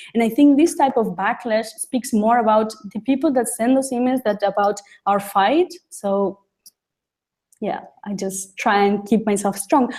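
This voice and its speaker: The recording is very clean, with a silent background. A woman speaks somewhat breathily and takes long, frequent pauses. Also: ordinary pitch variation, moderate pace. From Uruguay. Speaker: human rights lawyer and youth activist. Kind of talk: interview. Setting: studio with audience. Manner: halting, many fillers and repetitions.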